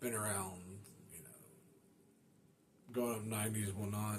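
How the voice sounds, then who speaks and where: Audible room echo surrounds a man's fairly low voice. He sounds somewhat breathy. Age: 30s. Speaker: motorcycle podcast host. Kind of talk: casual monologue. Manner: casual, many fillers.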